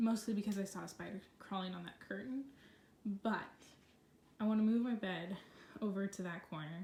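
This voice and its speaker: Medium-pitched woman with fairly even intonation and long, frequent pauses, over noticeable background noise. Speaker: vlogger. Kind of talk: casual vlog. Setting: at home in bedroom. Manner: fast.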